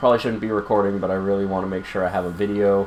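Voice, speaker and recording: A man's pitch varies in an ordinary way as he talks over noticeable background noise. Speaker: video game streamer. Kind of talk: gameplay commentary. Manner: quiet, low projection; casual, many fillers.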